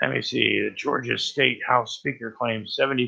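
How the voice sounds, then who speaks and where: Noticeable background noise under a man speaking at a moderate pace. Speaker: live stream host. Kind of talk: casual chat. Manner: halting.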